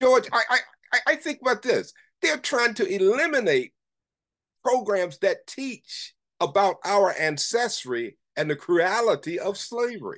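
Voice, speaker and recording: In a quiet background, a man with an American accent speaks at a fairly slow pace, his extremely high voice taking very wide pitch swings. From US South, northeastern North Carolina. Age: 80s+. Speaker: retired professor and radio broadcaster. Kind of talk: interview conversation. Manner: animated.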